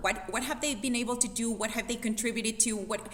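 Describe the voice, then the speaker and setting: A woman with a non-native accent and a fairly high pitch speaks in an animated tone over noticeable background noise. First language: not English. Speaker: fitness coach. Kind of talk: panel discussion.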